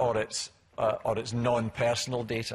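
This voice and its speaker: This man has a medium pitch and a somewhat breathy voice. He talks at a moderate pace. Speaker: government chief executive. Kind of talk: conference talk. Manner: halting, many fillers and repeats.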